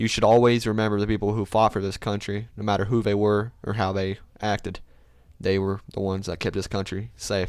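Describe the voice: With a clear, smooth tone, a man speaks at a moderate pace in a fairly low pitch with little pitch movement.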